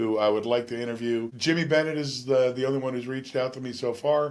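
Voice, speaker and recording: This is a man talking. His pace is very fast. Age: 60s. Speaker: podcaster. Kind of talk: casual monologue. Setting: home studio. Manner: relaxed, many fillers.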